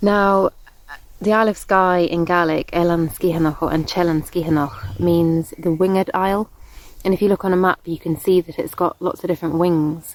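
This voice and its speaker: An unremarkable speaking voice from a woman, fairly low-pitched, with fairly even intonation, a moderate pace, very even loudness and a dry, close sound with no echo. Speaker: storyteller. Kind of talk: folk tale storytelling.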